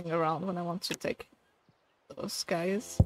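A woman speaks in a French accent at a fairly low pitch, with ordinary pitch variation. The sound is dry with no echo, though noticeable background noise comes through. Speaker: game streamer. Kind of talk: live gameplay commentary. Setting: live stream. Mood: mildly frustrated, casual. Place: home room.

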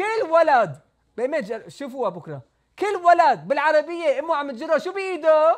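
Against a quiet background, a man with an extremely high pitch and lively intonation speaks at a fairly slow pace. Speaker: rabbi teaching Torah. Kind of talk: religious lecture. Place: home room. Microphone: lapel.

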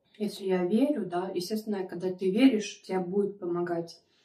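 Audible room echo surrounds a woman speaking at a moderate pace in a dark, mellow tone with fairly even intonation. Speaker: mukbang vlogger. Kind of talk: casual vlog chat. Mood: chatty, confiding. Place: home room. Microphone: phone near.

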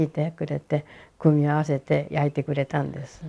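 Fairly quick female speech in a Hiroshima accent, very deep and low, with a dark, mellow tone and vocal fry. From Hiroshima, Japan; Japan. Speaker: atomic bomb survivor. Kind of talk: testimony. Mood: calm, at times emotional. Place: home room. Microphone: lapel.

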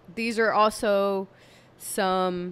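Clear, smooth and fairly bright in tone yet tired, a woman speaks at a medium pitch.

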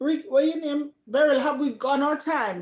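A woman's slightly mellow, high-pitched voice with ordinary pitch variation at a moderate pace.

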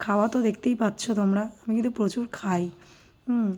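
A woman's voice has a dark, mellow tone and fairly high pitch. Her intonation is fairly even. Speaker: lifestyle vlogger. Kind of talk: travel vlog voiceover. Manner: casual, chatty.

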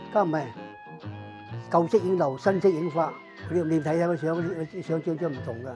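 Clear music plays behind a man whose fairly high voice shows ordinary pitch variation. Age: 80s+. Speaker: photography studio owner. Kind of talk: interview answer. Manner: casual, conversational. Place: shop.

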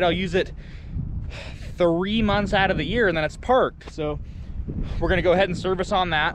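The man's voice is high-pitched. Background noise is noticeable throughout. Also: dry sound with no echo. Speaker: farmer vlogger. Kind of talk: casual vlog chat. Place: farm machine. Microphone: phone near.

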